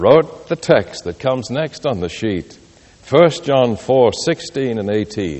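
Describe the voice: This is plain reading aloud delivered with lively intonation.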